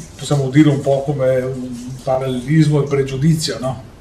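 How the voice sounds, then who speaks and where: With audible room echo and noticeable background noise, a man speaks at a moderate pace and a fairly high pitch. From Italy. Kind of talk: lecture-style talk. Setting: live stream.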